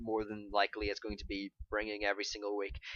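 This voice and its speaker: Music plays in the background. A man with a fairly low pitch is heard in a dry, close sound with no echo. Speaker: competitive Pokemon draft league player and YouTuber. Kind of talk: casual commentary video recap. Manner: halting with many fillers.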